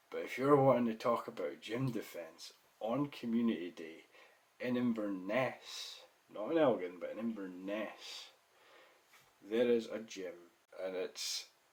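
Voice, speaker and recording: A man talks in a Scottish accent. His pace is fairly slow. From Scotland. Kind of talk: casual gaming commentary.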